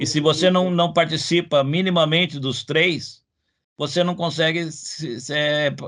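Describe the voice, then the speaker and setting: This man speaks at a fairly slow pace with a fairly high pitch. His intonation stays fairly even over a quiet background. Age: 60s. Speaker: comics researcher, professor. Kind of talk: interview. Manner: halting, many repetitions and fillers.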